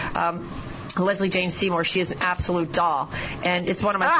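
A woman speaks over noticeable background noise. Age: 50s. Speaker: surgeon and guest radio host. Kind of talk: radio interview. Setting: radio studio.

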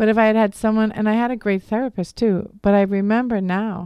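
With a slight Boston accent, this speaker has a dark, mellow tone and a moderate pace against a quiet background. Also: woman. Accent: slight Boston accent on certain words. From Philadelphia area, US. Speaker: divorce coach. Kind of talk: radio interview. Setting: radio studio.

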